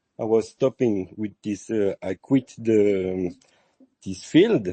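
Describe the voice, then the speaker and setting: A man with a French accent speaks at a very slow pace, his fairly low pitch carried by lively intonation. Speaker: lighting designer and artist. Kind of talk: casual chat. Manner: halting, many fillers.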